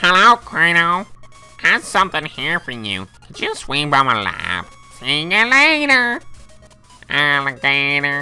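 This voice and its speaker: A put-on character voice speaks at a middle pitch and a fairly slow pace. Faint music plays in the background. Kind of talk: nerd voice. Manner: nerdy, put on.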